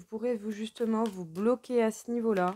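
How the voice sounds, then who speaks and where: This woman has a fairly high pitch and an ordinary speaking voice. She talks at a fairly slow pace in a dry, close sound with no echo. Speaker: tarot reader. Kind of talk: tarot reading.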